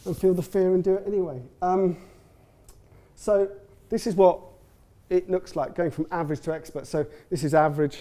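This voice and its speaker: The voice has a dark, mellow tone and ordinary pitch variation, moving at a fairly quick pace broken by long, frequent pauses. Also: man, high pitch for a man. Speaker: agency founder giving a conference talk. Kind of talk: conference presentation. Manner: fast; stammering repetitions.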